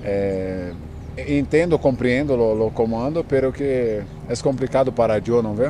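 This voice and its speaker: Speech comes at a fairly slow pace with ordinary pitch variation, recorded dry with no echo over light background noise. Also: man. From Brazil. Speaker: footballer. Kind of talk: interview; interview answer. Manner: halting. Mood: calm, somewhat sad. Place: open country. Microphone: handheld.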